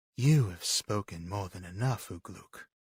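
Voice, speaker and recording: Delivered at a moderate pace, a put-on character voice comes through on a very clean recording with a silent background. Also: man, fairly low pitch for a man. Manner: sneering, evil.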